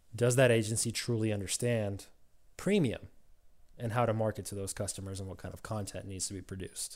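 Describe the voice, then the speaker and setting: On a very clean recording with a silent background, a man with a plain, everyday voice talks at a fairly quick pace, fairly low in pitch, with fairly even intonation. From Ukraine, raised in US (Georgia). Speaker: automotive digital business consultant. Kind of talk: casual interview.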